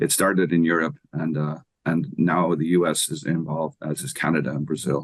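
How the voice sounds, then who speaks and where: This voice has an Irish accent, a fairly quick pace and fairly even intonation. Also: man, very deep, low pitch for a man. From Ireland. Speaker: agricultural economics professor. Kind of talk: interview.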